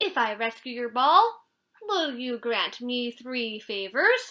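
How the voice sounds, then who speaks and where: Putting on a character voice, a woman speaks at a fairly slow pace in a high, croaky voice. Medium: read story.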